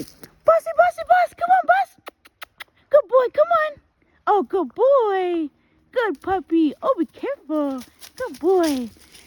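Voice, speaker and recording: In a put-on character voice, the speaker goes at a fairly slow pace, pitched extremely high with very wide pitch swings. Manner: coaxing, sweet.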